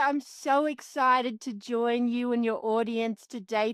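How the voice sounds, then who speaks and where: Over a silent background in a very clean recording, a woman speaks with an Australian accent. Her voice is high-pitched and her pace is moderate. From Australia, Canberra. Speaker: extreme sports athlete and coach. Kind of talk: podcast interview.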